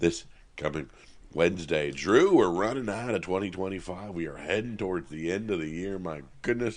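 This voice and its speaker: Vocal fry runs through a man's very deep, low voice as he speaks at a fairly quick pace with ordinary pitch variation. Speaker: comic book podcast co-host. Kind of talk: casual chat.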